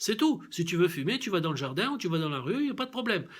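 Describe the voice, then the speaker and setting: A man's high-pitched, animated voice with very wide pitch swings at a fairly quick pace, on a very clean recording with a silent background. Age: 70s. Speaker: vlogger. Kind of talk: video commentary. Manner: halting, many hesitations.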